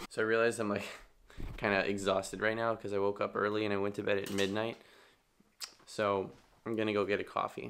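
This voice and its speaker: A raspy, put-on character voice at a very fast pace, broken by long, frequent pauses. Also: man, fairly low pitch for a man. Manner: monotone.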